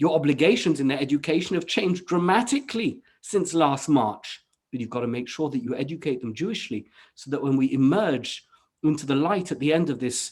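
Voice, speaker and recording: A man with a British accent and a fairly high pitch, lively intonation at a moderate pace. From England. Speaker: rabbi. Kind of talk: panel discussion.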